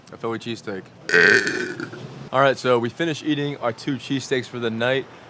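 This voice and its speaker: A man talks at a very fast pace with a medium pitch and fairly even intonation. Long, frequent pauses break his speech over noticeable background noise. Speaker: food vlogger. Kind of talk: casual food review vlog.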